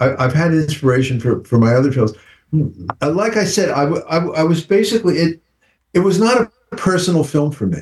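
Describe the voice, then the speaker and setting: A man talks at a fairly slow pace in a fairly high, somewhat breathy voice. His intonation is lively. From United States. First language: English (speaking French). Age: 70s. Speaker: film director. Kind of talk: interview. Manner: halting.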